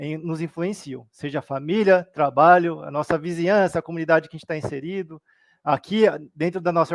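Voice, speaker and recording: The speaker is a man talking at a fairly quick pace. His intonation stays fairly even. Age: 30s. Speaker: Buddhist study presenter. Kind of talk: livestream study talk.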